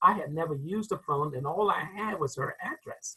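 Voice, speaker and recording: Here a man speaks with a North Carolina accent in a high pitch. His tone is bright and sharp, and his intonation is lively. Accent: Southern US, North Carolina. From US South, rural North Carolina (Enfield). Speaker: crowd safety expert and author. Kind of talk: interview storytelling. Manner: hesitant, with fillers.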